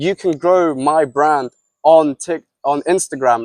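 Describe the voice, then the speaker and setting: The sound is dry and close, with no echo. A man speaks at a fairly high pitch. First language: Russian. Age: 20s. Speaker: entrepreneur and podcast host. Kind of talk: casual podcast chat with sales pitch. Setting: outdoors by a pool. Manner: animated.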